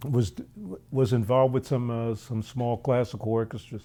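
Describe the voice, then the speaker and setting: A man speaks with a Philadelphia accent. His voice is medium in pitch, with a dark, mellow tone. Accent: American, Philadelphia. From US, Philadelphia. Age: 60s. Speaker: jazz drummer. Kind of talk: interview.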